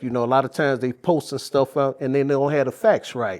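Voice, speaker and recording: Over a quiet background, a man talks at a very fast pace. His pitch is fairly high and his intonation fairly even. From Chicago, US Midwest. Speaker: podcast host. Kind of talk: casual chat. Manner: stuttering.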